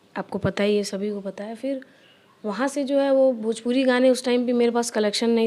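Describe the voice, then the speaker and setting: A woman speaks with a Bihari accent. Her pace is moderate. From Bihar, Gopalganj (Bhojpuri region). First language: Bhojpuri (speaking Hindi). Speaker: playback singer. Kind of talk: interview.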